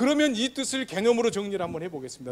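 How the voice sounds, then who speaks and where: Talking at a very fast pace, a high-pitched man sounds animated, with lively intonation. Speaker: pastor. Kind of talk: sermon.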